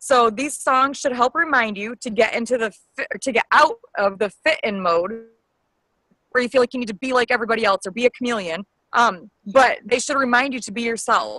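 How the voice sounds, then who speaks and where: A woman with a high pitch and a bright, sharp tone speaks at a fairly quick pace with ordinary pitch variation, in a dry, close sound with no echo. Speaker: fitness coach. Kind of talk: team call presentation. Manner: fast.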